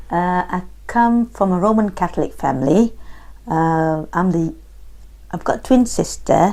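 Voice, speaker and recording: This woman has a fairly low, dark and mellow voice with lively intonation. She speaks at a fairly slow pace with long, frequent pauses. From Singapore. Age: 50s. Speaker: oral history interviewee. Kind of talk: interview.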